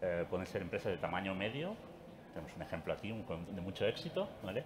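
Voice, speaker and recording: Fairly quick male speech with noticeable background noise behind it. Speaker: industry association representative. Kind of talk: panel discussion. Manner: soft-spoken; halting.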